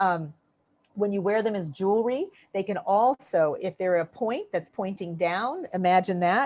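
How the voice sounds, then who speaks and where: A woman's medium-pitched, an ordinary speaking voice, with ordinary pitch variation against a quiet background. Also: moderate pace. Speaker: crystal healing teacher. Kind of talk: webinar lecture. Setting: online webinar.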